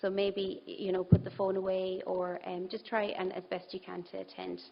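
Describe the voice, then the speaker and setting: A woman with an Irish accent speaks at a fairly quick pace. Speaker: conference speaker on brain health. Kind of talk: presentation.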